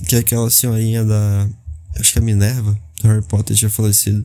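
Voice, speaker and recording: Recorded very cleanly against a silent background, a man speaks at a moderate pace in a somewhat breathy voice with a dark, mellow tone. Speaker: podcaster. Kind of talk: casual monologue.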